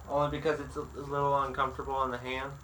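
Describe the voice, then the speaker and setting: The speaker has an American accent. Room echo is audible. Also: man. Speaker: woodworker. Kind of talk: tutorial. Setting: workshop. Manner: slow; halting.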